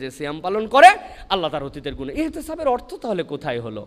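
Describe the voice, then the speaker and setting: Very wide pitch swings in a high male voice. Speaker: Islamic preacher. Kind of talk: Islamic sermon (waz) to a live audience. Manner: engaged, rhetorical questions to the audience, lively.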